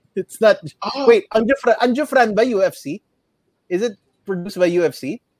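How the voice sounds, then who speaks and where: A high-pitched man with lively intonation at a moderate pace, with long, frequent pauses. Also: dry, close sound with no echo. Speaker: podcast co-host. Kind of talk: casual chat. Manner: code-switching English and Tagalog.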